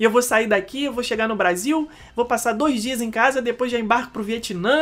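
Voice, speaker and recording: This woman has an ordinary speaking voice with a fairly high pitch and ordinary pitch variation. She talks at a fairly quick pace. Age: 30s. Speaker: podcast co-host, travel business owner. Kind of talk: casual chat.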